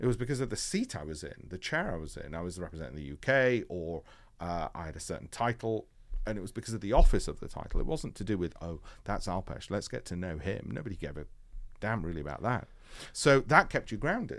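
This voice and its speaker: In a Yorkshire accent, a man speaks at a very fast pace and fairly low pitch, with very wide pitch swings and big swings in loudness, on a very clean recording with a silent background. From northern England, Leeds (Yorkshire). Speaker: hedge fund founder. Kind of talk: interview.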